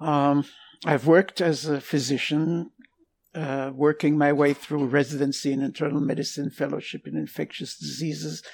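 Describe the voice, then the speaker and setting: Moderate pace with an Israeli accent. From Israel, Jerusalem. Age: 80s+. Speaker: retired military physician. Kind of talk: casual interview. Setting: remote call.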